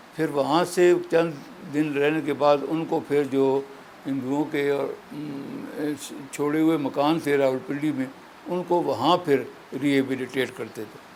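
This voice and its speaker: Against noticeable background noise, a man talks at a fairly high pitch in a monotone, flat intonation. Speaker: elderly political figure and independence-era witness. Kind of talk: interview answer, recalling history.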